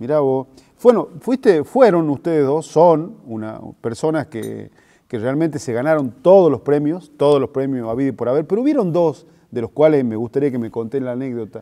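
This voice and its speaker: Over a quiet background, a man with a fairly high pitch and a dark, mellow tone speaks at a moderate pace with lively intonation. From Argentina. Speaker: interviewer. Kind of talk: interview. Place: hall. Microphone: lapel.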